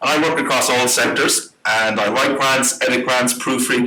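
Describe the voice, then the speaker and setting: A man's medium-pitched voice with an Irish accent, over noticeable background noise. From Ireland. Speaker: grants consultant and workshop presenter. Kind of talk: workshop presentation. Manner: fast; animated.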